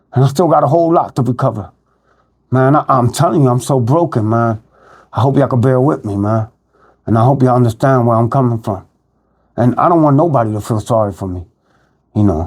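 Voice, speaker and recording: On a very clean recording with a silent background, a man with a Philadelphia accent talks very fast at a medium pitch, with ordinary pitch variation and long, frequent pauses. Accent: Philadelphia urban American English. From Philadelphia (North Philly). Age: 50s. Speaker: recovering addict sharing his life story. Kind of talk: personal testimony monologue. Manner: halting, many fillers (um, repeats).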